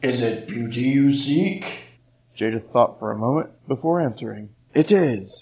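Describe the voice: Someone is doing plain reading aloud. Pitch variation stays ordinary.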